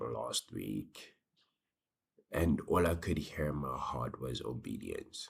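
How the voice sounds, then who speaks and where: The voice has vocal fry and moves at a very slow pace. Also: man. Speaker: small business owner, vlogger. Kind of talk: casual vlog monologue. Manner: casual, hesitant with fillers.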